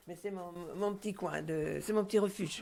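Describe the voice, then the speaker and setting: Her intonation stays monotone and flat. The woman's voice is fairly low in pitch. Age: 80s+. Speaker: retired truck driver. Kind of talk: interview. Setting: at home. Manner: halting, with many repetitions.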